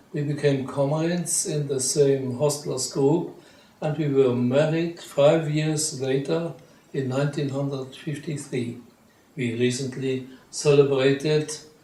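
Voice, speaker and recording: Fairly even intonation at a fairly slow pace, with audible room echo. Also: man. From Luxembourg, south. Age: 80s+. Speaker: retired journalist. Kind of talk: interview.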